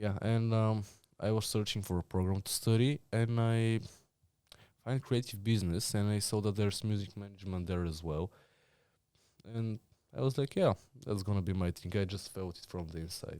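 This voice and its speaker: A dark, mellow tone in a Bulgarian accent, moderate pace, ordinary pitch variation and long, frequent pauses, on a very clean recording with a silent background. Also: man, fairly low pitch for a man. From Bulgaria, Blagoevgrad. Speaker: student. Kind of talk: casual interview.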